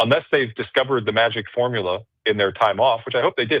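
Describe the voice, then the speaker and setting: Words come out of a man at a very fast rate. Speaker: national college football writer. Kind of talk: sports radio interview. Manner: stumbling over words.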